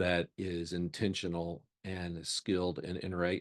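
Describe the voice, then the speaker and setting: A man's very deep, low voice, dry and close with no echo, against a quiet background. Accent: slight Mississippi. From Mississippi, US South. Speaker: counseling center program director, former pastor. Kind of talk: lunchtime talk. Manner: halting, many fillers.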